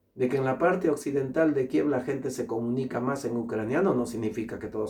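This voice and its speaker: Fairly quick speech from a man at a medium pitch, noticeable background noise behind it. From Peru. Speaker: international law specialist and lecturer. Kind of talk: opinion monologue. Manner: animated.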